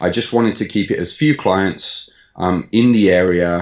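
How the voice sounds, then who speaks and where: The very clean recording has a silent background. On it, a man speaks at a fairly low pitch with ordinary pitch variation. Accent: British. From English Midlands, Birmingham (Sutton Coldfield). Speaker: online fitness coach. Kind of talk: podcast interview. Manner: hesitant, many fillers.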